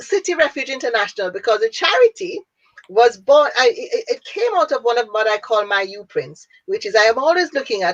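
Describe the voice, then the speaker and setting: A woman with a Jamaican accent speaks fairly quickly in a high pitch, her pitch swinging very widely. The sound is dry and close, with no echo. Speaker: businesswoman and international speaker. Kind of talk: interview.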